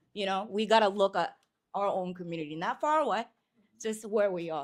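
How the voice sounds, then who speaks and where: A woman talks at a fairly quick pace with a Japanese accent. Her medium pitch carries lively intonation. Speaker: musician. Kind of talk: panel discussion.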